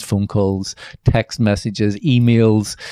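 This man speaks with a Northern Irish accent and a fairly low pitch. His tone is dark and mellow, and the sound is dry and close with no echo. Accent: Northern Irish (Belfast). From Northern Ireland, Belfast. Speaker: novelist and screenwriter. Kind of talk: interview. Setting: office at a university.

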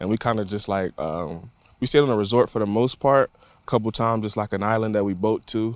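A fairly low-pitched man with an American accent at a fairly quick pace, ordinary pitch variation, a very clean recording with a silent background, and a dry, close sound with no echo. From Florida, Tampa. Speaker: professional football player. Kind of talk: interview. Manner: casual, hesitant with fillers.

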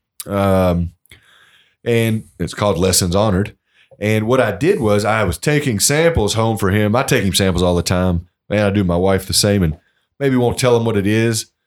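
Recorded very cleanly against a silent background, a man with a Kentucky accent speaks at a moderate pace and a fairly low pitch, with very even loudness. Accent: Kentucky, US South. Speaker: master distiller. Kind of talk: casual interview. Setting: historic home on location.

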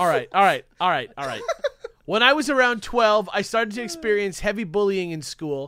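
In a very clean recording with a silent background, a man uses a raised, projected voice with a bright, sharp tone, lively intonation and a fairly quick pace. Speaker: podcast co-host. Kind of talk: reading aloud.

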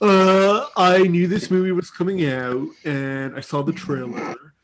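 A put-on character voice drawls at a fairly slow pace. The pitch stays in the middle range. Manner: drawling.

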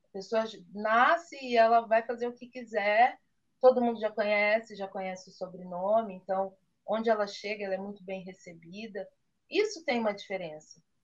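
A woman with an unremarkable speaking voice talks at a moderate pace, fairly high in pitch, with ordinary pitch variation and big swings in loudness. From Brazil, Campinas (São Paulo state). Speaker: chocolate maker. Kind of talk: interview.

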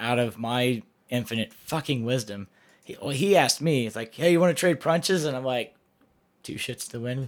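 In a very clean recording with a silent background, a man with an unremarkable speaking voice talks at a moderate pace, medium in pitch, with ordinary pitch variation. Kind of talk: casual banter podcast.

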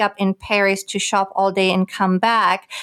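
In a very clean recording with a silent background and a dry, close sound with no echo, a woman speaks at a medium pitch and moderate pace. Her intonation is monotone and flat, with a German accent. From Germany, Recklinghausen (Ruhr area, northwest). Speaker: business development executive. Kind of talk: casual interview.

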